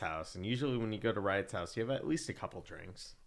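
A man has an unremarkable speaking voice with a fairly low pitch. His intonation is lively. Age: 20s. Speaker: podcast guest. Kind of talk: casual chat.

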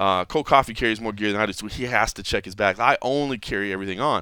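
A man with a bright, sharp tone and lively intonation on a very clean recording with a silent background. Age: 30s. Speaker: MMA podcast host. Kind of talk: casual chat. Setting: co-host's home studio.

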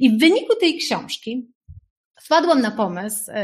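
A woman with lively intonation talks in a somewhat breathy voice. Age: 40s. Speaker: life coach. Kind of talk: webinar talk. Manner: animated.

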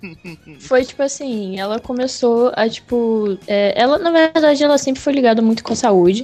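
A woman's high-pitched voice at a moderate pace, with lively intonation, hardly any pauses and music in the background. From Rio de Janeiro, Brazil. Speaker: podcast guest. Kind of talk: casual chat.

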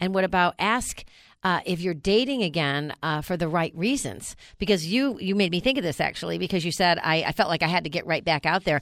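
Against a silent background in a very clean recording, a woman with a plain, everyday voice and an American accent speaks at a fairly low pitch and fairly quick pace with lively intonation. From New York. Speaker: radio host. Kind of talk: casual chat.

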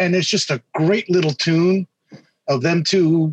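In a normal speaking voice, a man talks with a fairly high pitch and fairly even intonation, the sound dry and close with no echo. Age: 50s. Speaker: musician. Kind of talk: casual chat.

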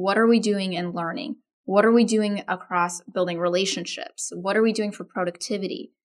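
A plain, everyday voice speaks with an American accent. The pace is moderate, with ordinary pitch variation. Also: woman. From Texas, Austin; parents from India. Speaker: organization development consultant and author. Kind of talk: interview.

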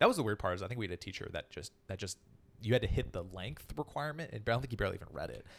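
Talking very fast, a man with a fairly low pitch and vocal fry uses lively intonation and big swings in loudness. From Northern California, San Francisco area. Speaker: comedian. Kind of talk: casual chat.

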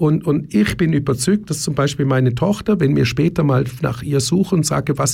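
This man's intonation is lively and his voice somewhat breathy. His pitch sits fairly high. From Germany. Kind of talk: radio interview. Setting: radio studio. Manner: repetitive, restarts often.

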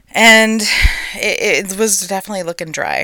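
The speaker is a woman with an American accent. Her voice sounds dry and close, without any echo. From Texas. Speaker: gardening podcast host. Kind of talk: solo podcast monologue. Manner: casual, chatty with laughs.

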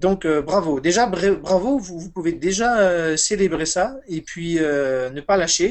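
High-pitched male speech with ordinary pitch variation. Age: 40s. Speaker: Buddhist meditation teacher. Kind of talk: interview about meditation.

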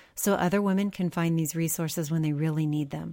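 A woman's dark, mellow voice of fairly low pitch with ordinary pitch variation, on a very clean recording with a silent background. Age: 50s. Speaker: podcast co-host. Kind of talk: scripted outro; casual interview. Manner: halting with many fillers.

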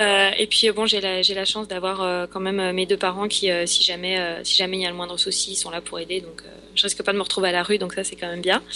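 At a fairly quick pace, a woman speaks in a medium pitch with monotone, flat intonation and big swings in loudness, against noticeable background noise. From France. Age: 20s. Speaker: aspiring actress. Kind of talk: interview. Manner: halting.

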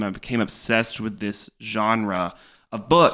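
With an American accent, a man talks in a bright, sharp tone on a very clean recording with a silent background. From North Carolina. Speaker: writer. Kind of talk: casual chat.

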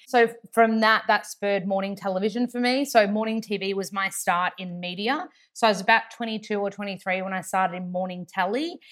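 A woman with an Australian accent speaks at a fairly quick pace and medium pitch, with fairly even intonation. The recording is very clean, with a silent background. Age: 30s. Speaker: actor, TV host and nutritionist. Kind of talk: interview. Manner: chatty, talkative.

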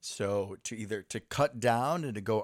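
A man speaks at medium pitch with lively intonation in an ordinary speaking voice, recorded dry and close with no echo, very clean, against a silent background. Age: 20s. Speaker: podcast host and nurse. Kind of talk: casual chat. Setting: home basement recording.

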